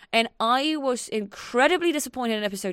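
In a very clean recording with a silent background, a woman with a non-native accent talks at a fairly quick pace. Her pitch swings very widely. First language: not English. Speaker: podcast co-host. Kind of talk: casual chat.

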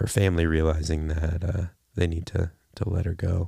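At a moderate pace, a man speaks with a very deep, low pitch, a dark, mellow tone and a somewhat breathy quality. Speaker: podcast co-host. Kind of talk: casual chat.

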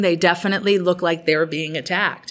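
A woman speaks in a normal speaking voice with an American accent. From Massachusetts, Cape Cod (Provincetown). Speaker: museum director. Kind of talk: interview.

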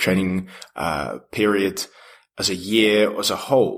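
A man speaks with an unremarkable speaking voice, fairly low in pitch and fairly even in intonation. The recording is very clean, with a silent background. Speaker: podcast host. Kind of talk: interview.

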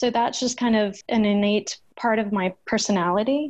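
A woman's fairly high voice, an unremarkable speaking voice with ordinary pitch variation, at a moderate pace against a quiet background. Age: 40s. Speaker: nonprofit founder and family law reform advocate. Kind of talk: interview.

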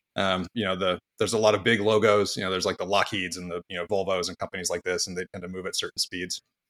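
A man speaks at a very fast pace with hardly any pauses, his pitch very deep and low and his intonation flat and monotone. The sound is dry and close, with no echo. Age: 40s. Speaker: tech company co-founder and CEO. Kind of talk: casual interview conversation. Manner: hesitant, many fillers.

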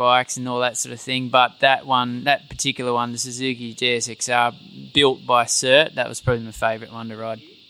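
Over music in the background, a voice moves at a moderate pace with hardly any pauses, flat and monotone in intonation yet with big swings in loudness. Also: man. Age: 30s. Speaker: former motorcycle racer, tour operator. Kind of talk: live podcast recording with audience. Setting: stage with audience. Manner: halting.

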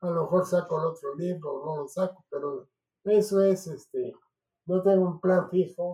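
A man talks in a high pitch with a dark, mellow tone. His pace is fairly slow and his intonation fairly even. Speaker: family elder telling his life story. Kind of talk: personal interview.

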